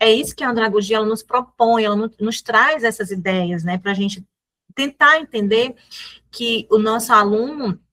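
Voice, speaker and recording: With a bright, sharp tone, a woman speaks at a fairly high pitch with ordinary pitch variation. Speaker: teacher. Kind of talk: lecture. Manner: fast.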